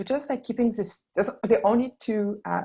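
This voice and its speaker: Speaking at a fairly quick pace, a woman talks in a French accent. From France, Burgundy. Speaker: founder of a wine label design company. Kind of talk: webinar presentation. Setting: online webinar. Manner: hesitant, many fillers.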